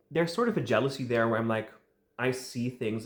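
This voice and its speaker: A man with a Dutch accent talks at a medium pitch. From Netherlands. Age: 20s. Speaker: fan media creator. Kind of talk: vlog monologue. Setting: home recording with tripod and light. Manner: casual, some hesitation.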